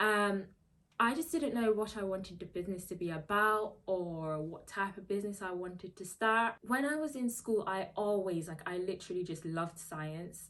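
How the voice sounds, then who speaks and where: Speaking at a moderate pace, a woman with a slight Guyanese accent uses a medium pitch and ordinary pitch variation. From Guyana, moved to England at seven. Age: 20s. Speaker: YouTuber and nurse. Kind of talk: casual Q&A vlog.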